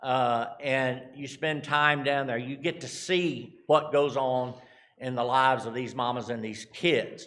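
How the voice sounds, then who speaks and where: A man with a Texan accent talks at a fairly slow pace in a medium pitch. His intonation is fairly even, and there is audible room echo. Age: 60s. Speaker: charity representative. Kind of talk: church mission talk. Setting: church. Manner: halting.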